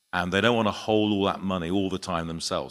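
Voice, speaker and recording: Recorded very cleanly against a silent background, a man with a British accent speaks with ordinary pitch variation. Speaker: insurance and reinsurance broker, conference panelist. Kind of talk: conference panel talk. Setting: conference panel with audience. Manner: hesitant, many fillers and restarts.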